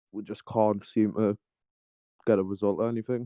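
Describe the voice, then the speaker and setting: Speaking with a Geordie accent, a man uses a fairly low pitch and monotone, flat intonation at a moderate pace. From Newcastle, northeast England. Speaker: caller. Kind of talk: casual chat.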